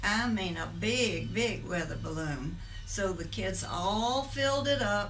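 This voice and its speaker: At a very slow pace, a woman speaks with a Southern US accent amid noticeable background noise and audible room echo. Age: 80s+. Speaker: church member. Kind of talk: testimony.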